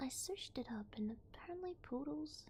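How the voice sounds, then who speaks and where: A soft-spoken whisper moves along at a fairly slow pace. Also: woman. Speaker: vtuber ASMR reader. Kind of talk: sleep story / creepypasta reading. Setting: binaural ASMR microphone. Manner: soft-spoken, whispery.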